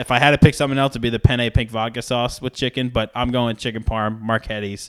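A man speaks in a normal speaking voice at a medium pitch. He moves at a fairly quick pace. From Rhode Island, US. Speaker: college athletics communications director. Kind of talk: casual interview.

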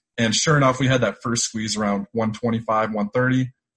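Somewhat breathy, a man with an American accent keeps his intonation fairly even. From Syracuse, New York. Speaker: podcast host and trader. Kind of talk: casual interview chat. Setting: video call.

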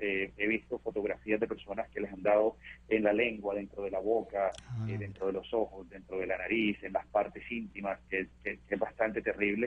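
This man talks at a moderate pace with hardly any pauses. His fairly low voice holds a monotone, flat intonation. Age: 40s. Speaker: monkeypox survivor. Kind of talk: interview.

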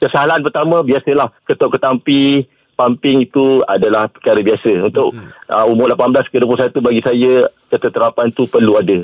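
An ordinary speaking voice with ordinary pitch variation comes through dry and close with no echo at a moderate pace. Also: man, medium pitch for a man. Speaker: radio caller. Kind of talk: casual chat.

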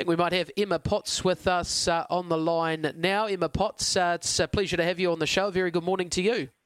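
A man recorded very cleanly against a silent background, with a dry, close sound and no echo. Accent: New Zealand. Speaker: radio host and greyhound trainer. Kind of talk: sports radio show. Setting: studio.

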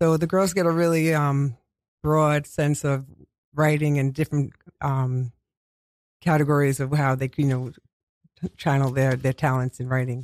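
In a dry, close sound with no echo, a man with a New York accent speaks at a fairly high pitch and moderate pace, with fairly even intonation and long, frequent pauses. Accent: New York (Queens). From Queens, New York City. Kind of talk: radio interview, with poem reading. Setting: radio studio.

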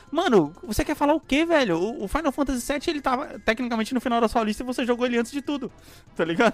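A man talks at a very fast pace in an extremely high pitch, his tone animated and his intonation lively. Music plays in the background. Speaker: podcast co-host. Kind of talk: casual chat.

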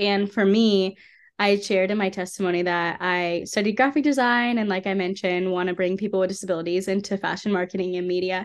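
A woman with an American accent speaks at a fairly quick pace in a normal speaking voice, with medium pitch and fairly even intonation over a quiet background. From US South (Atlanta, Georgia). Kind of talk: testimony. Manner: casual, filler-heavy.

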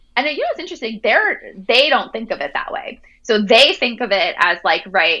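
Using a normal speaking voice, a woman with an American accent talks at a fairly quick pace and a fairly high pitch. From Jersey Shore, New Jersey. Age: 30s. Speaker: author. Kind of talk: interview.

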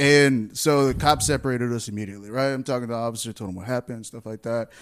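A man talks at a fairly quick pace. The sound is dry and close, without echo. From Texas. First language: Spanish. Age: 20s. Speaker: podcast host. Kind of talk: casual chat. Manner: laughs often.

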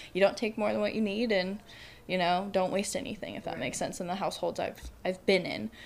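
Delivered at a very fast pace, the voice shows vocal fry and lively intonation. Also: woman, medium pitch for a woman. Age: 20s. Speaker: college student. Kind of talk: casual interview chat. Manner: boisterous, loud.

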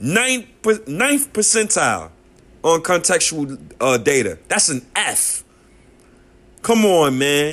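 A man with a New York accent, bright and sharp in tone, his pitch swinging very widely at a very slow pace. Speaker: sports podcaster. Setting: solo podcast. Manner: loud, heated, emphatic, repeating and stumbling over words as he vents; casual, slangy, direct address to listeners.

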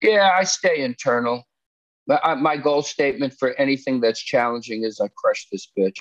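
A man speaks with lively intonation. His pace is moderate. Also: fairly high pitch for a man, dry, close sound with no echo. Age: 60s. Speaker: therapist and musician. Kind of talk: casual chat. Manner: halting.

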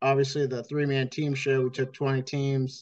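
A man with a fairly high pitch speaks in an American accent. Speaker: demolition derby promoter. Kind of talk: casual chat.

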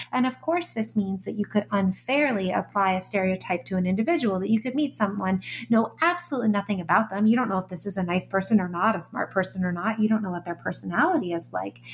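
Over noticeable background noise, the speech runs at a very fast pace with hardly any pauses and lively intonation. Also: woman, medium pitch for a woman. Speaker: psychology professor and author. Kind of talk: interview.

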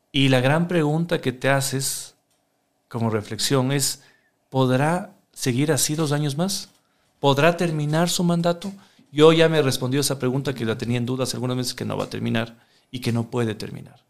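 Using an ordinary speaking voice, a man talks at a moderate pace, fairly high in pitch, with ordinary pitch variation. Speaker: politician. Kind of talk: interview.

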